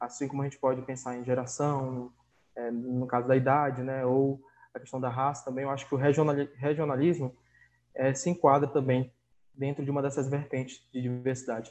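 Speaking in a flat monotone, the man holds a medium pitch. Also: moderate pace. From Manaus, northern Brazil. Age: 20s. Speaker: youth NGO leader trainer. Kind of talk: casual interview chat. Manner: halting, repeats words.

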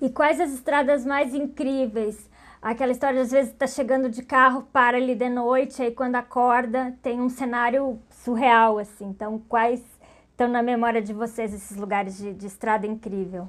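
At a moderate pace, the speech holds a fairly even intonation on a very clean recording with a silent background. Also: woman, high pitch for a woman. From Pelotas, Rio Grande do Sul, Brazil. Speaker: podcast host. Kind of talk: interview.

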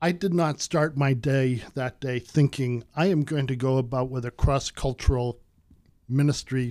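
A man speaks in a plain, everyday voice at a fairly slow pace with fairly even intonation, on a very clean recording with a silent background. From United States. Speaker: missions pastor. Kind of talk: casual chat.

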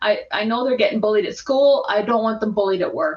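A woman with a Canadian accent uses a normal speaking voice, speaking at a fairly quick pace with a fairly high pitch. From Edmonton, Alberta, Canada. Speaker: workplace harassment expert and social worker. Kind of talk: casual interview chat.

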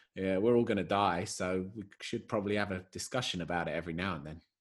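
This man has a normal speaking voice, talking at a moderate pace with ordinary pitch variation. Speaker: podcast host. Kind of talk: casual chat. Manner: joking, relaxed.

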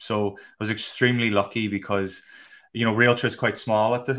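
In a Donegal accent, a man talks at a moderate pace with fairly even intonation, a medium pitch and a bright, sharp tone, on a very clean recording with a silent background. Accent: Irish, Donegal. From Ireland, County Donegal. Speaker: space industry physicist and product manager. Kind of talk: casual interview.

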